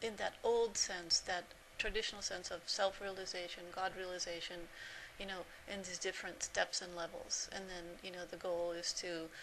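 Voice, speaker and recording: A woman at medium pitch, moderate pace, monotone and flat in intonation. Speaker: spiritual teacher. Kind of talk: spiritual talk to camera. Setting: self-recorded video. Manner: halting, sometimes stuck on words.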